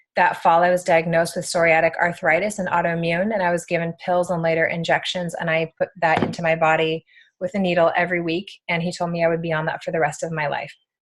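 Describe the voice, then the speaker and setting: Speaking very fast with hardly any pauses, a woman keeps a fairly low pitch in a monotone with flat intonation. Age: 30s. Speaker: network marketing presenter. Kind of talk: testimony.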